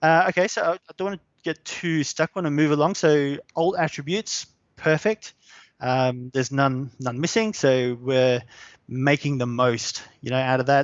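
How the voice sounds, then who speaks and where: Fairly high in pitch, a man speaks with an Australian accent. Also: ordinary pitch variation, moderate pace. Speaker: SEO specialist. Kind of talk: live webinar tutorial. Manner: casual, hesitant with fillers.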